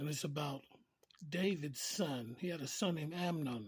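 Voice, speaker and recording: Using ordinary pitch variation, a man talks in a somewhat breathy voice with a fairly high pitch. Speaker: preacher. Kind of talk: informal sermon. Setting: early morning recording. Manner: casual, conversational.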